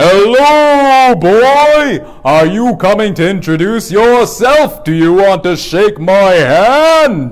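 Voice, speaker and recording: Over light background noise, a man in a high-pitched, put-on character voice talks at a very slow pace with hardly any pauses. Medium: read story. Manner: hearty, welcoming.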